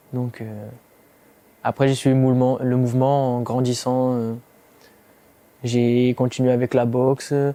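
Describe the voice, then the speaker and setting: Speaking fairly slowly with long, frequent pauses, a man at a medium pitch delivers his words in a dark, mellow tone with monotone, flat intonation. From southern France (Provence). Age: 20s. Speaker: MMA fighter. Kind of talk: interview testimony. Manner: hesitant, many fillers.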